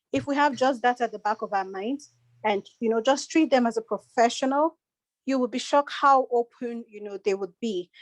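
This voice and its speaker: A woman speaks with a high pitch and ordinary pitch variation in a dry, close sound with no echo. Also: moderate pace. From Nigeria. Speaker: panel speaker, immigrant. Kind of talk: panel discussion.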